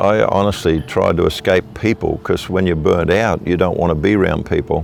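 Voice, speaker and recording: With music in the background, a man with an Australian accent speaks at a very deep, low pitch. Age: 60s. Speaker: evangelist preacher. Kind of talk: interview testimony.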